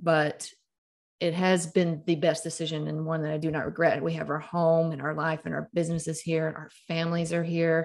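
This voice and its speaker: In a very clean recording with a silent background, a woman with a Southern US accent speaks in a fairly low voice with monotone, flat intonation. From Mississippi (Starkville). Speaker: author and storyteller. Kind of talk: interview.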